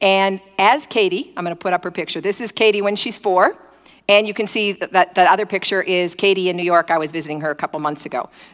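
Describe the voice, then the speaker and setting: A woman talks at a very fast pace in an animated tone. Her pitch is medium, with ordinary variation. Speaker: preacher. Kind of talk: sermon. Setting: streamed church service, nearly empty room. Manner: fast talker.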